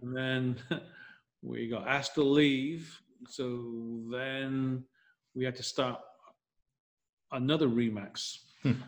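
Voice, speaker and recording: Very slowly and with long, frequent pauses, a man with an American accent speaks. His medium-pitched voice has monotone, flat intonation. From northern England, Leeds. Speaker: real estate team leader. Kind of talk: interview.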